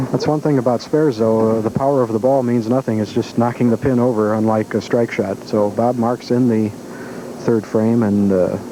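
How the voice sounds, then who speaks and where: A man with a medium pitch talks at a moderate pace. His intonation is fairly even, and background noise is noticeable. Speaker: bowling commentator. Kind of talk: live commentary. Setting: bowling alley. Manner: soft-spoken.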